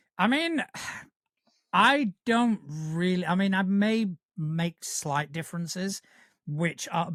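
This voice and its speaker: A man with a northern English accent and a high pitch, fairly slow, lively in intonation, in a dry, close sound with no echo on a very clean recording with a silent background. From northern England, Yorkshire. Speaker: podcast co-host. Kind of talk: casual chat.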